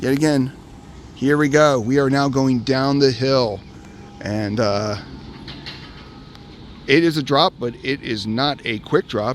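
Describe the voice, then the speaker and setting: A man speaks at a fairly slow pace with long, frequent pauses, his pitch medium and its variation ordinary. Noticeable background noise runs underneath. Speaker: amusement park vlogger. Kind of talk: casual talk to camera. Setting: outdoors.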